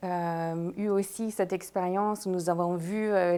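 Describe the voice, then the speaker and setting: A woman with an American accent and a dark, mellow tone speaks at a medium pitch with fairly even intonation. Her pace is fairly slow, and the recording is very clean with a silent background. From United States. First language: English (speaking French). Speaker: leadership consultant and coach. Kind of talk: panel discussion.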